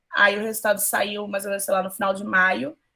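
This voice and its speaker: This woman speaks at a very fast pace with a medium pitch. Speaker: school teacher. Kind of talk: online class talk. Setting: video call. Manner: animated.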